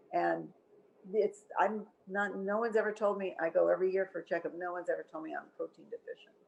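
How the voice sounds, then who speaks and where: A woman speaks at a fairly quick pace with vocal fry. Her pitch sits in the medium range. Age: 80s+. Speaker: raw food author and wellness influencer. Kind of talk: interview answer.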